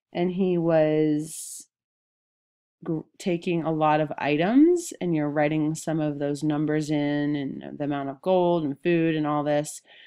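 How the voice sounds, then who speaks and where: Slow-ish and fairly unhurried, a woman talks with a very deep, low pitch. Her intonation is monotone and flat. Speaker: middle school history teacher. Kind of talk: recorded lesson. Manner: hesitant, many ums.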